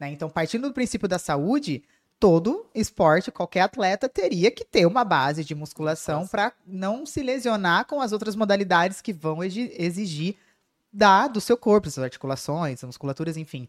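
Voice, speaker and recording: A woman speaks with very wide pitch swings. The sound is dry and close, with no echo. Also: medium pitch for a woman, moderate pace. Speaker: fitness coach and influencer. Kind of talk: casual chat.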